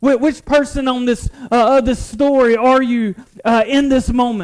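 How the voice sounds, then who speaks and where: The voice carries a North Carolina accent and fairly even intonation. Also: man. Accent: Southern US (North Carolina). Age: 20s. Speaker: pastor. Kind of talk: sermon. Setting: church. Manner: halting.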